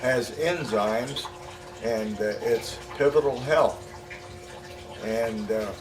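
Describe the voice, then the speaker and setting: At a very slow pace with long, frequent pauses, a man speaks at a medium pitch amid audible room echo and noticeable background noise. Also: ordinary pitch variation. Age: 70s. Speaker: patient giving testimonial. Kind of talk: testimony. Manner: halting, many fillers.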